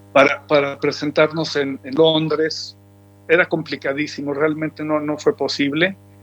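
A man's fairly high voice at a fairly slow pace, fairly even in intonation, with music in the background. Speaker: musician. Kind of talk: interview.

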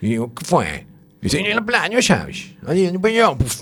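At a moderate pace, a man with a high pitch and lively intonation is heard over noticeable background noise. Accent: Galician. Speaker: radio show contributor. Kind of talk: comic casual chat. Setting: radio studio.

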